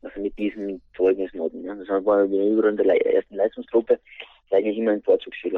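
Speaking at a fairly quick pace, a man has a medium pitch. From Austria, Styria (St. Peter, Schwanberg area). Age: 40s. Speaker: interview guest, project manager and former footballer. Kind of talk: interview. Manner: halting.

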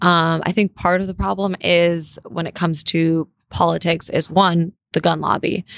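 An unremarkable speaking voice belongs to this woman with a General American accent and a fairly low pitch. She keeps a moderate pace with fairly even intonation and hardly any pauses. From US West Coast, Los Angeles. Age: 20s. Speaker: political commentator and online show host. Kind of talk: casual chat. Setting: studio.

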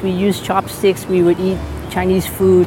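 There is noticeable background noise behind this woman with an American accent. She speaks at a medium pitch and a moderate pace. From Boston, US. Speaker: pastor. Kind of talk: testimony.

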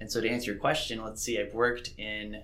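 A man with a fairly low voice is heard, and audible room echo hangs around his words. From Mississippi. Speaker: PhD researcher in geography. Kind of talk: interview.

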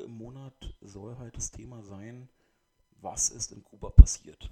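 A man with a medium pitch talks fairly slowly, his intonation fairly even. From Brandenburg, Germany (Eberswalde). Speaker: podcaster. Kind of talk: solo monologue. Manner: halting, many fillers. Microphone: new microphone, poor recording quality.

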